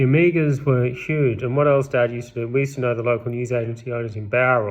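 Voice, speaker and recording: A man with an Australian accent at a medium pitch and a fairly quick pace. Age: 30s. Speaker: vlogger. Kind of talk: casual monologue. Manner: rambling, self-correcting.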